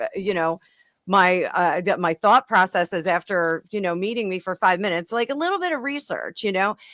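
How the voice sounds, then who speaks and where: In a New Jersey accent, the voice comes through loud, with a bright, sharp tone, in a very clean recording with a silent background and a dry, close sound with no echo. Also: woman. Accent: New Jersey American. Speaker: panelist. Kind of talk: heated debate.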